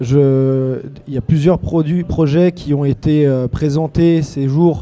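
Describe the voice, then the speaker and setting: Here a man talks at a very slow pace. His pitch is fairly high. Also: fairly even intonation. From Haute-Savoie, eastern France. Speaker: construction company director. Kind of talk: panel discussion. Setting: TV set at a trade fair.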